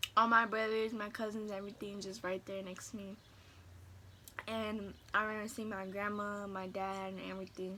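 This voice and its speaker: With noticeable background noise behind her, a woman talks at a moderate pace and medium pitch, her intonation monotone and flat but her loudness swinging widely. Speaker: vlogger. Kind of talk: storytime vlog. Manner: halting, many fillers.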